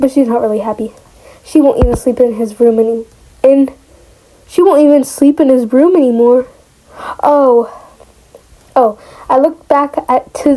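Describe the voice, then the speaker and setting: Noticeable background noise accompanies a woman talking in a high pitch. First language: not English. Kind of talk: casual reading of online story with reactions.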